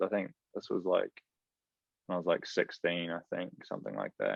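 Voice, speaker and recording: A man with a New Zealand accent at a moderate pace. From New Zealand, Rotorua. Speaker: professional footballer. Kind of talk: casual interview chat.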